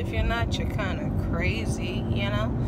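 A woman talks at a fairly slow pace, her dry sound carrying no echo over loud background noise. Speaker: vlogger. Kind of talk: casual vlog chat. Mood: upbeat, excited. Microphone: phone near.

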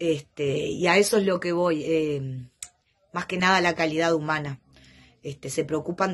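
Against a quiet background, a woman speaks with a very deep, low pitch. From Uruguay. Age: 40s. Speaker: patient giving a testimonial. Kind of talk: testimony. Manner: hesitant, many fillers. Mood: warm, grateful. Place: home room. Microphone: phone near.

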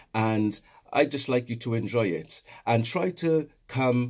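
Speaking with a Welsh accent, a man keeps a fairly slow pace at a medium pitch. His pitch variation is ordinary, and the background is quiet. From Wales. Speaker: educational consultant. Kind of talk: promotional invitation. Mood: warm, inviting. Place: home room. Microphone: phone near.

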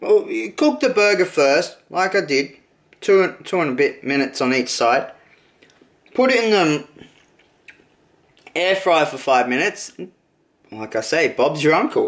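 A man's fairly high, fairly bright voice at a fairly slow pace, with big pitch swings and long, frequent pauses

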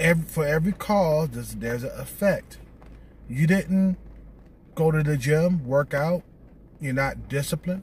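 A man at a moderate pace, with long, frequent pauses, in a dry recording with no echo. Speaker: video blogger giving dating advice to men. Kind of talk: angry rant, scolding lecture aimed at viewers. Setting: solo video. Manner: blunt, confrontational, hammering repeated points; loud, aggressive, contemptuous and profane. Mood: lecturing, scolding. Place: car. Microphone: phone near.

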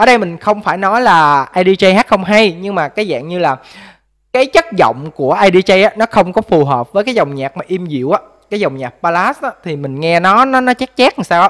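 Against a quiet background, a man with a Mekong Delta accent speaks at a fairly quick pace in a high pitch. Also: lively intonation. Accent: southern Vietnamese, Mekong Delta. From Mekong Delta, Vinh Long; Mekong Delta, Vietnam. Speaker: vlogger, factory worker; vlogger commenting on a music video. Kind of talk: music video review vlog. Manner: hesitant, many fillers. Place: home room. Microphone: studio mic.

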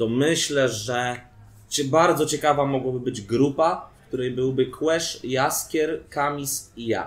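Delivered at a very slow pace, the speech has fairly even intonation. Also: man, medium pitch for a man. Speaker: freestyle rapper; guest. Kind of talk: casual interview. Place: bar. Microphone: camera far.

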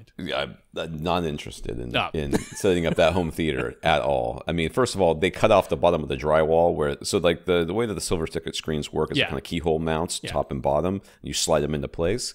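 A man speaks very fast with hardly any pauses, his very deep, low voice carrying vocal fry. His pitch varies in an ordinary way against a quiet background. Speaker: podcast co-host. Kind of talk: casual podcast chat. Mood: amused, joking. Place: kitchen. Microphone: studio mic.

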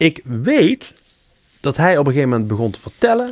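The man's voice swings very widely in pitch. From Helmond, North Brabant, Netherlands; North Brabant. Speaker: podcast co-host. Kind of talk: casual chat. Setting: studio. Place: home room. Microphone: studio mic.

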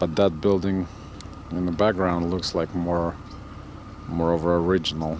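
A man at a fairly slow pace, dry sound with no echo, light background noise. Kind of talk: casual narration. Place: open country. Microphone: phone near.

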